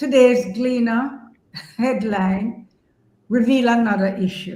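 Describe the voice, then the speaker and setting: There is audible room echo as a woman with a fairly high pitch speaks in a somewhat breathy voice with ordinary pitch variation. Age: 70s. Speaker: journalist. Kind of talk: interview discussion.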